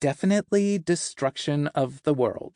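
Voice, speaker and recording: In a put-on character voice, a man speaks at a moderate pace and a fairly high pitch. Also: dry, close sound with no echo. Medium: read story. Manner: rambling, playful.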